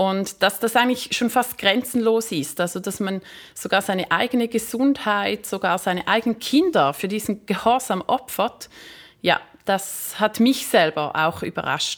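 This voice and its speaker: With lively intonation and a fairly high pitch, a woman talks at a fairly slow pace in a very clean recording with a silent background. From Switzerland. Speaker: magazine publisher, former primary school teacher. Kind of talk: interview. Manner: hesitant with fillers.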